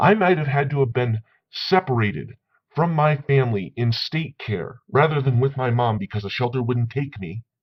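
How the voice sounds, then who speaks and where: The delivery moves at a moderate pace with lively intonation. The voice is somewhat breathy. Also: man, medium pitch for a man. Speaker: vlogger on men's issues. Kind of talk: commentary vlog reading sources. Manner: stuttering when heated.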